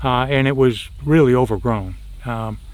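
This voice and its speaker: A man speaks at a very slow pace. He has an American accent. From Chicago. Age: 80s+. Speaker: cattle farmer. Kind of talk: interview answer.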